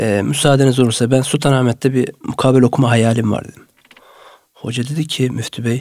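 With an unremarkable speaking voice, a man talks at a fairly quick pace and a medium pitch, showing fairly even intonation and big swings in loudness. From Turkey, Samsun Vezirköprü. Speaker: mosque muezzin. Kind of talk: radio interview. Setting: studio.

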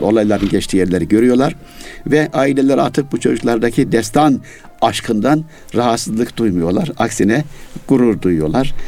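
A man's medium-pitched voice at a moderate pace, lively in intonation, with music in the background. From Yozgat, central Turkey. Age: 60s. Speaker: poet and writer, retired literature teacher. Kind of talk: interview chat.

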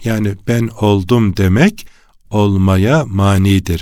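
Recorded very cleanly over a silent background, a man speaks at a fairly low pitch with ordinary pitch variation. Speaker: religious radio host. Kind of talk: religious radio talk. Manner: hesitant fillers.

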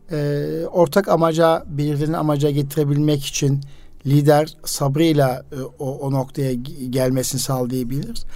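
Delivered at a fairly slow pace, a man's voice comes across as a plain, everyday voice. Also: fairly high pitch for a man, fairly even intonation. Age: 50s. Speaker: radio host and educator. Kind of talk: casual radio interview.

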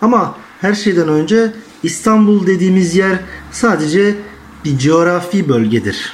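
The man's high voice moves at a fairly slow pace with ordinary pitch variation. His loudness stays very even amid audible room echo. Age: 20s. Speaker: young interviewee. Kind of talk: interview answers.

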